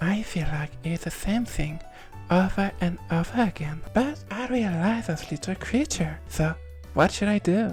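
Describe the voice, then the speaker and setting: A woman talks at a fairly slow pace. Music plays behind her. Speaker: vtuber. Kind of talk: casual gaming commentary.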